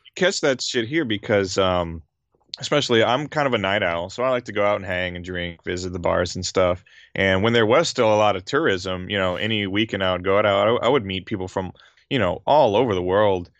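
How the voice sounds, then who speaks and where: A man with fairly low pitch, ordinary pitch variation and an unremarkable speaking voice, at a fairly quick pace. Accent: American. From US South, southern Louisiana. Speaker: YouTuber on Japanese gaming, English teacher. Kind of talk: casual chat.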